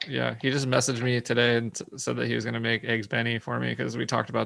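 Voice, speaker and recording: A man speaks with an American accent over noticeable background noise. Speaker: podcast host. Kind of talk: casual chat.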